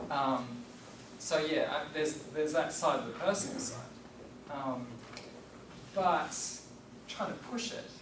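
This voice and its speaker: A man with an Australian accent speaks at a fairly high pitch and a fairly slow pace, with lively intonation and long, frequent pauses. Audible room echo and noticeable background noise surround him. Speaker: professor. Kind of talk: lecture Q&A. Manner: halting.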